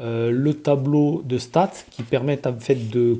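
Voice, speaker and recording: A very slow pace, a dark, mellow tone and fairly even intonation. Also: man. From southern France, Occitanie. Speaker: gamebook reader and reviewer. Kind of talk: casual presentation of a gamebook. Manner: hesitant, many filler sounds.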